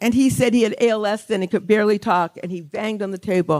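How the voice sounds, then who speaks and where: The sound is dry and close, with no echo. A woman speaks in an American accent. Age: 60s. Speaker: author and songwriter, award honoree. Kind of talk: award acceptance speech. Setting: stage with audience at a gala.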